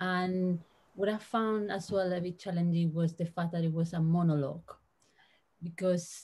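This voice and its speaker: A woman speaks in a Spanish accent with a somewhat breathy, dark, mellow tone, a fairly low pitch and fairly even intonation. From Spain. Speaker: translator. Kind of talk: panel discussion. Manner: halting.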